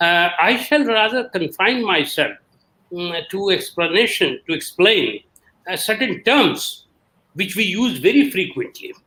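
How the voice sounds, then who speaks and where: Raising and projecting his high voice, a man speaks fairly slowly in a bright, sharp tone with very wide pitch swings. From India. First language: an Indian language. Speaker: historian of science. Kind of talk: panel talk.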